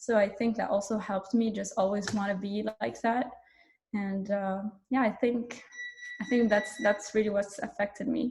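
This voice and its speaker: A woman speaks at a moderate pace in a fairly high, somewhat breathy voice with fairly even intonation. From Morocco. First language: French and Arabic. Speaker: startup co-founder. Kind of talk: panel talk. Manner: casual, with many fillers.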